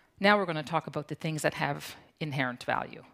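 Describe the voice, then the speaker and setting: A woman with a Newfoundland accent speaks in a very deep, low pitch. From Newfoundland, Canada (Fogo Island). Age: 60s. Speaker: conference speaker, founder of a community organization. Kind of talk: conference talk.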